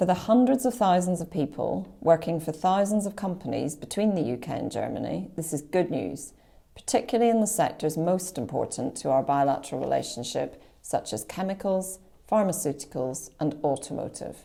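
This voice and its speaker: With a Northern Irish accent, a woman talks in a fairly low pitch with a dark, mellow tone, vocal fry and lively intonation. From Northern Ireland, County Antrim. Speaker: diplomat. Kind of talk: formal speech opening a webinar. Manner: formal.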